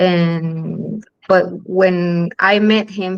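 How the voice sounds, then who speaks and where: A woman speaks at a medium pitch with a Chilean accent and fairly even intonation. The background is quiet. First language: Spanish. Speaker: film director. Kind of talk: panel interview. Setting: online live stream. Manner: halting, many fillers.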